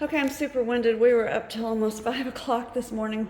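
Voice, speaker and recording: Amid noticeable background noise, a woman speaks at a fairly quick pace. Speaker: house restorer and vlogger. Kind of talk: casual vlog narration. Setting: indoors, running through a house. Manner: animated.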